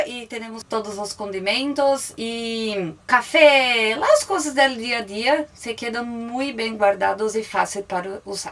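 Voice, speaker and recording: A woman speaks in a Brazilian accent at a fairly high pitch with ordinary pitch variation. Her pace is very slow. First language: Portuguese (speaking Spanish). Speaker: van-life traveler. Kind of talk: motorhome tour. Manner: halting.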